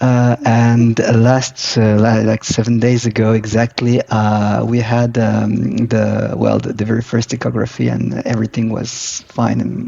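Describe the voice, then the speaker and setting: Speech at a fairly slow pace is heard over noticeable background noise. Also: man. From Morocco. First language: not English. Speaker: professional coach. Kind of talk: casual interview chat. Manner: hesitant, many fillers.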